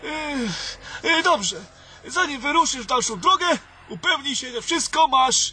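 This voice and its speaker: A man talks in a raised, projected voice with lively intonation at a moderate pace, with noticeable background noise behind him. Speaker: weak wizard character in audio drama. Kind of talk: fantasy audio drama, theatrical dialogue. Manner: weary, anxious, formal.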